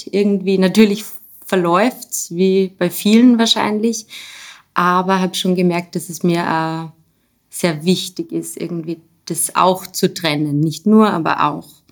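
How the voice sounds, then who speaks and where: A woman with a plain, everyday voice, medium pitch, and fairly even intonation. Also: fairly slow pace. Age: 30s. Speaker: special education teacher. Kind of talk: casual interview.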